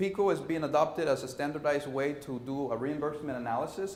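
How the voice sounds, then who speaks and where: Over noticeable background noise and audible room echo, a man speaks at a very fast pace with a fairly high pitch. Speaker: conference presenter. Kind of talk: conference presentation.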